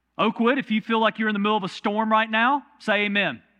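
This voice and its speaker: With a Southern US accent, a man speaks at a high pitch. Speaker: pastor. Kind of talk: sermon. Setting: church. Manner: conversational.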